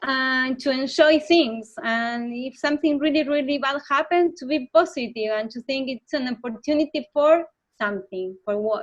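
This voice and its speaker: With a Spanish accent, a woman speaks at a high pitch and a moderate pace, with hardly any pauses. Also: ordinary pitch variation. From Argentina, Buenos Aires. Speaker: motorcycle traveler. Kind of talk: interview. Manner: halting.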